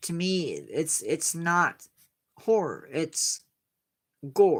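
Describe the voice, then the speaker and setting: Speaking very slowly with an American accent, a woman uses a fairly low pitch and ordinary pitch variation. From Indiana, US Midwest. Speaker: science livestream host. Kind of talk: casual chat with live chat viewers. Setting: livestream.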